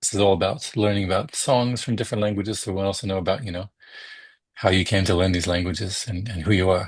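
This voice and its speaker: Against a quiet background, a man talks at a very fast pace. His fairly low, somewhat breathy voice keeps fairly even intonation. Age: 40s. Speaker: podcast host, music scholar. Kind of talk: interview.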